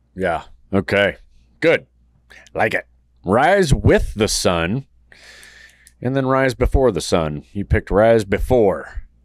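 Speaking very slowly with long, frequent pauses, a man with a medium-pitched voice swings his pitch very widely, recorded dry and close with no echo on a very clean track with a silent background. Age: 40s. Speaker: podcast host. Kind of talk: casual interview chat.

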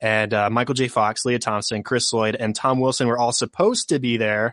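A man with an ordinary speaking voice talks at a medium pitch with fairly even intonation. The sound is dry and close with no echo, against a quiet background. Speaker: podcaster. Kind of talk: casual chat.

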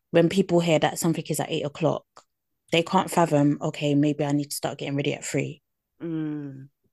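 A woman's very deep, low voice at a moderate pace, dry and close with no echo, in a quiet background. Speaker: podcast co-host. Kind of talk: casual chat.

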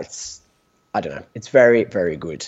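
A man's medium-pitched voice, ordinary in its pitch variation, runs at a fairly quick speed. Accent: British. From UK. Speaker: sports medicine doctor. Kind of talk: interview. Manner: halting.

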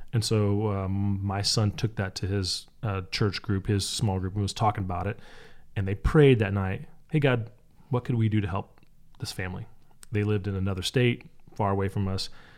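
Recorded very cleanly with a silent background, a man speaks at a moderate pace with a fairly low pitch and fairly even intonation. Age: 40s. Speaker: youth camp director, dad. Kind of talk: casual interview chat.

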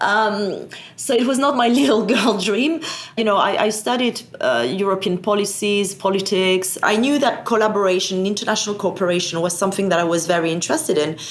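Speaking at a fairly quick pace in a French accent, a woman with a medium pitch keeps a very even loudness, with audible room echo and noticeable background noise. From France. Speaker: satellite industry association executive. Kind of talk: interview.

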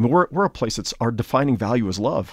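Talk at a very fast pace comes through in a very clean recording with a silent background. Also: man. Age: 50s. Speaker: pastor. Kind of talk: interview.

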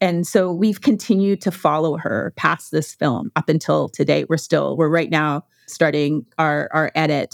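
In a Western Canadian accent, a woman with a very deep, low pitch and vocal fry talks at a moderate pace with ordinary pitch variation and hardly any pauses, on a very clean recording with a silent background and a dry, close sound with no echo. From Canada, Alberta prairies. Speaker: documentary filmmaker. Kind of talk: interview.

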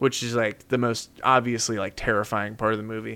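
A man with a medium pitch talks at a fairly quick pace in a normal speaking voice. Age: 20s. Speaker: podcast guest. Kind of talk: casual chat.

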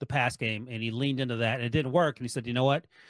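A man with an American accent at medium pitch, with a dry, close sound with no echo and a very clean recording over a silent background. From North Carolina. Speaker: NFL writer and podcaster. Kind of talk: sports radio interview.

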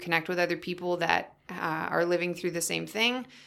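With a Canadian accent, a woman speaks at a fairly low pitch in a bright, sharp tone. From Yukon, northern Canada (Whitehorse). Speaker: nutrition coach. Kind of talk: interview.

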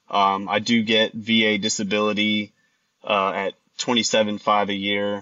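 A man's fairly low voice with a Texan accent and monotone, flat intonation. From Texas. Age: 30s. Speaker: caller, Air Force veteran. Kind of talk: phone-in advice call. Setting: phone call. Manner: halting.

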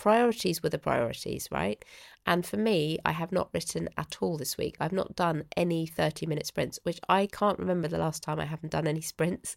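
Fairly low in pitch, a woman speaks with vocal fry and lively intonation. The recording is very clean and silent, with a dry, close sound and no echo. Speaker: podcast host, writing coach. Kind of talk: solo podcast talk. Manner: conversational, addresses listener.

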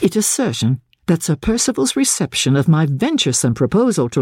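With a dark, mellow tone and a dramatic delivery, a woman speaks at a moderate pace in a fairly low pitch, somewhat breathy, her pitch swinging very widely in a dry, close sound with no echo. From Canada. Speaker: audiobook narrator. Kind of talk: literary audiobook reading of a diary in a Victorian novel. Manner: expressive, dramatic, wry and ironic in the diary's sarcastic passages; measured, formal, even pacing.

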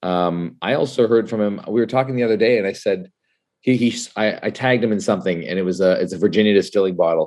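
In a quiet background, a man talks very fast at a fairly low pitch with ordinary pitch variation. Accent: Canadian. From Canada. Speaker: whiskey writer and influencer. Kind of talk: casual chat. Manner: animated.

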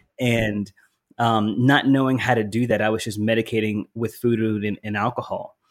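With an American accent, a man talks at a moderate pace and medium pitch in a monotone, flat intonation. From US South. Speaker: wellness entrepreneur. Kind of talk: casual interview chat.

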